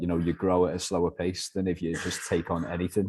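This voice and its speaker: Speaking fairly quickly in a Liverpool accent, a man has a very deep, low pitch and a dark, mellow tone. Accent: soft Liverpool (Scouse). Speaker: letting agency director. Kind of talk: business interview.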